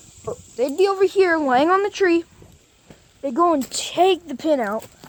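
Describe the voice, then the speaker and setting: A woman talks with lively intonation while noticeable background noise plays underneath. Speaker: YouTuber. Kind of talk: tutorial. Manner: casual.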